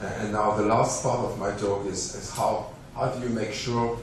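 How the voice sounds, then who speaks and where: Amid noticeable background noise and audible room echo, a man speaks in a fairly low monotone with flat intonation. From France. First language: French. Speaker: scientist. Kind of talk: lecture. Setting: conference hall. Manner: halting.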